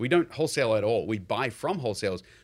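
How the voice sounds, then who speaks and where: In a New Zealand accent, a man talks at a very fast pace in a very clean recording with a silent background. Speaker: real estate investor. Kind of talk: interview.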